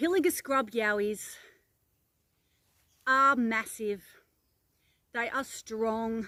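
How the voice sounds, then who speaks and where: A woman with an Australian accent speaks at a very slow pace, leaving long, frequent pauses. Her pitch sits fairly high with ordinary variation, on a very clean recording with a silent background. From Australia, Narrabri NSW. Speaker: paranormal investigator vlogger. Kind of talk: outdoor vlog narration. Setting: outdoors in bushland.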